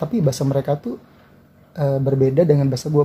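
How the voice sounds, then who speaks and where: A man's very fast, somewhat breathy speech in a strong West Javanese accent, fairly high in pitch with a dark, mellow tone. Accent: Sundanese accent in Indonesian, strong. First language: Sundanese (speaking Indonesian). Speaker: YouTuber. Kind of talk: casual vlog explainer. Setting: lying down at home. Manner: relaxed, casual.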